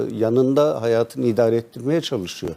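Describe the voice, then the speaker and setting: A man talks at a moderate pace in a dark, mellow tone. His medium pitch shows ordinary variation. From Turkey, Karaman. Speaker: provincial party chairman. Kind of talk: TV interview.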